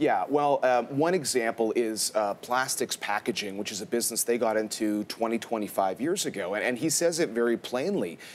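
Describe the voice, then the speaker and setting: In a normal speaking voice, a man with a medium pitch talks at a fairly quick pace, with hardly any pauses and lively intonation. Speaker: business journalist. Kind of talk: TV news interview answer.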